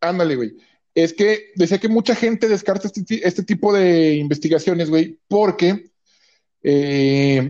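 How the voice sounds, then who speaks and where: A man with a Mexican accent talks fairly slowly in a high voice with a dark, mellow tone and ordinary pitch variation. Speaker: podcast co-host. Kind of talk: casual chat.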